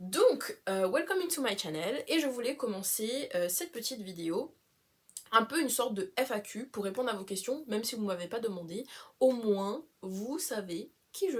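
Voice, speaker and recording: Very wide pitch swings at a fairly slow pace. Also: woman. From Réunion. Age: 20s. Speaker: travel vlogger. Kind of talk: casual vlog introduction. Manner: casual, frequent hesitations and code-switching to English.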